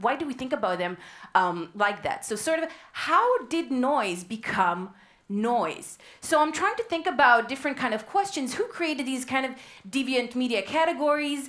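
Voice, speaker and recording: A woman speaks at a high pitch with very wide pitch swings. The background is quiet. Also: moderate pace. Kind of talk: lecture. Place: hall. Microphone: headset.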